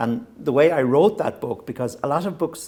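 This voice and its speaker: Someone with a west of Ireland accent speaks at a moderate pace with lively intonation. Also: man. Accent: Irish (west of Ireland, Hiberno-English). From Ireland, County Mayo (west of Ireland). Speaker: novelist. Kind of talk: interview. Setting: stage with live audience. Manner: halting, with frequent restarts and fillers.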